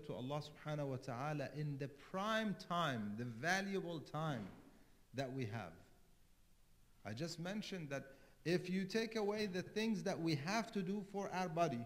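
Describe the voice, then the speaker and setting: Delivered at a moderate pace with lively intonation, the speech has long, frequent pauses and audible room echo. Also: man. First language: not English. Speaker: cleric. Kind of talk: sermon.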